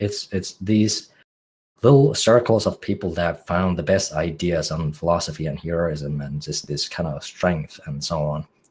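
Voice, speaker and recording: Speaking at a fairly slow pace, a man with a Finnish accent has a very deep, low pitch and ordinary pitch variation. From Finland. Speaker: music producer. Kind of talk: podcast interview. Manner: halting.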